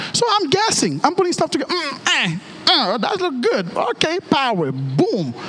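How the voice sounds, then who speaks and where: Over noticeable background noise, a man talks at a moderate pace in an animated tone with very wide pitch swings. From Haiti. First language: Haitian Creole. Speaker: pastor. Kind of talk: sermon. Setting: church.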